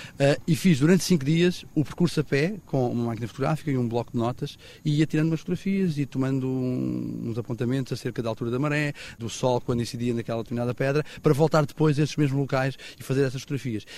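A man talks very fast at a medium pitch with ordinary pitch variation. Noticeable background noise runs underneath. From Portugal, Algarve southwest coast. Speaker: photographer. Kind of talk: interview.

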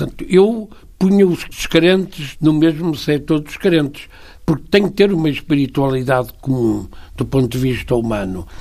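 Lively intonation from a man with a fairly high pitch and a dark, mellow tone, at a moderate pace. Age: 80s+. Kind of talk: radio interview. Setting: radio studio.

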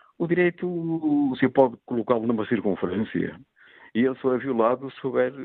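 He is a man with an ordinary speaking voice and a medium pitch. His intonation is lively and his pace fairly quick. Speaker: sports disciplinary official. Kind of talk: radio phone-in debate. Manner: formal.

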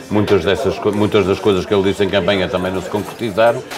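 Against noticeable background noise, a man with a fairly low pitch talks with fairly even intonation. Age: 50s. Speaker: radio host. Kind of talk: interview. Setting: live broadcast from a café.

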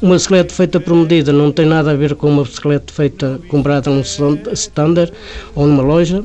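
A man's fairly high voice holds fairly even intonation while noticeable background noise plays around him. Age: 60s. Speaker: bicycle frame builder. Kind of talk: interview. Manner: halting.

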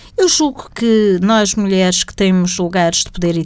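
Against noticeable background noise, a woman speaks at a fairly slow pace with a medium pitch and ordinary pitch variation. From Portugal, Setúbal district. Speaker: government secretary of state. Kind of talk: interview.

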